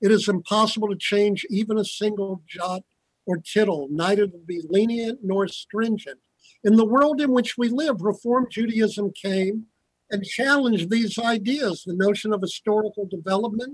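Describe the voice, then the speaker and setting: A man with an American accent speaks at a moderate pace and a high pitch with ordinary pitch variation, his voice dry with no echo over a quiet background. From US South, Virginia. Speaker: rabbi and historian; respondent lecturer. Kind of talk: lecture. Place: office. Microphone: video call.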